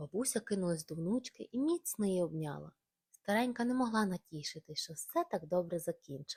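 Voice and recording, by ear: Someone is reading aloud in a natural voice with lively intonation. The background is quiet.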